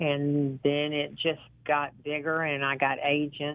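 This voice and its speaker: Speaking fairly slowly, a woman with a Southern US accent has a very deep, low-pitched voice. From US South (Georgia). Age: 60s. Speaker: model and actress. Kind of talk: interview. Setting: phone call.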